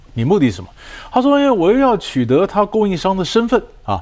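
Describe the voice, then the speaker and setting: The man's pitch makes very wide swings. He speaks at a fairly quick pace. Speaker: negotiation expert and professor. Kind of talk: interview.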